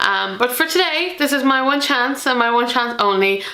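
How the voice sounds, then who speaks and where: A woman speaks with an Irish accent over noticeable background noise, with audible room echo. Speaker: board game youtuber. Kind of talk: casual vlog talk to camera. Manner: hesitant, many fillers.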